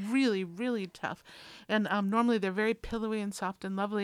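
A woman with an American accent and an ordinary speaking voice, medium in pitch, fairly quick, with fairly even intonation, the sound dry and close with no echo in a very clean recording with a silent background. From Minnesota, US. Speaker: community radio food show co-host. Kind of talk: casual chat. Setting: radio studio.

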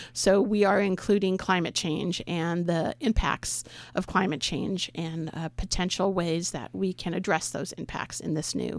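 A woman with an American accent speaks at a moderate pace in a fairly low voice with vocal fry. The recording is very clean, with a silent background. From California. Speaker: conservation organization deputy director. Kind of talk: radio interview. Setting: studio.

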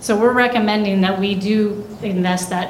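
Speaking at a fairly slow pace with ordinary pitch variation, a woman is heard over noticeable background noise. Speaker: city engineer. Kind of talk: council meeting staff report answering questions. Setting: live council meeting room.

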